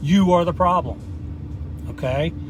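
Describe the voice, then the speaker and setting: Someone speaks at a moderate pace with an American accent over noticeable background noise. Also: man. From US Midwest, small-town Indiana. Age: 50s. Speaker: motivational vlogger. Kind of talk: motivational monologue. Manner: casual, filler-heavy.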